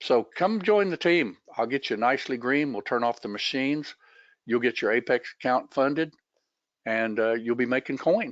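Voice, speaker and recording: Recorded with a dry, close sound, no echo and a quiet background, a man at medium pitch talks with lively intonation. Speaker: trading educator. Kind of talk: webinar. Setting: online webinar. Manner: fast; casual.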